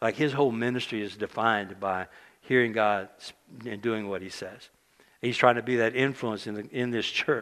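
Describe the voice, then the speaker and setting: At a moderate pace, a man with a medium-pitched voice speaks with fairly even intonation and big swings in loudness. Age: 60s. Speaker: preacher. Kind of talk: sermon. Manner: halting.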